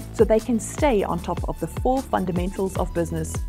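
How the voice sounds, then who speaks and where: The voice moves at a fairly quick pace over music in the background. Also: woman. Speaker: keynote speaker. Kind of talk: motivational keynote talk. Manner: high energy.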